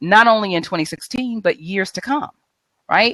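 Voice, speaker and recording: In a dry, close sound with no echo, a woman speaks at a fairly quick pace with an animated tone and lively intonation. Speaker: mindset coach. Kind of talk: tips presentation on live video show. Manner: fast.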